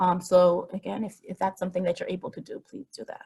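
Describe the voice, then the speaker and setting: A woman talks at a fairly quick pace. Her tone is dark and mellow, somewhat breathy. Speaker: health advocacy speaker. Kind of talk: webinar presentation. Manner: fast.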